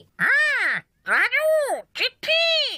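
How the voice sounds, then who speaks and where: Extremely high-pitched, a cartoonish character voice. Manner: short, repetitive, chirpy.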